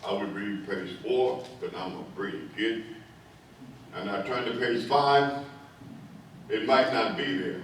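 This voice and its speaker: Noticeable background noise and audible room echo surround the speaker. A man talks at a medium pitch with ordinary pitch variation. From Delaware, US. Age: 90s. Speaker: elder recounting school memories. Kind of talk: personal testimony speech. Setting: fire hall event with audience.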